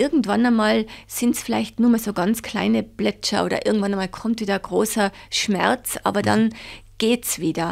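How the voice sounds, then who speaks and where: A woman talks at a moderate pace with fairly high pitch, fairly even intonation and vocal fry. The recording is very clean with a silent background. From Tyrol, Austria (Reith bei Seefeld). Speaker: head of a child support organisation. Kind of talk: interview.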